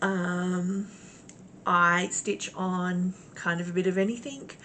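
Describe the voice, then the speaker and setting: Noticeable background noise sits under a woman speaking with an Australian accent. She talks very slowly at a medium pitch with fairly even intonation. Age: 40s. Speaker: cross-stitch vlogger. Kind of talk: casual chat. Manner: hesitant, many fillers.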